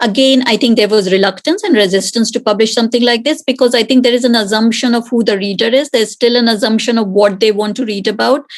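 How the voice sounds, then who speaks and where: A woman with an Indian accent rattles on at a very fast pace with hardly any pauses, her fairly high pitch held in fairly even intonation. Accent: Indian accent, prominent in Britain. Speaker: author, panellist. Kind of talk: panel discussion.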